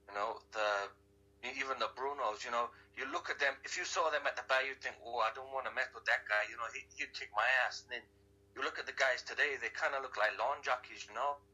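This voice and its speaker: A man with a plain, everyday voice, medium pitch, fairly even intonation and a fairly quick pace. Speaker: guest, wrestling and MMA fan. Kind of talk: casual interview chat. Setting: phone call from Hawaii.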